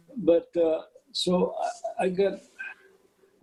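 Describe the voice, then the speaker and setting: With a dark, mellow tone, a man speaks in lively intonation. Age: 80s+. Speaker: retired orchestral horn player. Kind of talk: interview conversation. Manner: halting, many fillers.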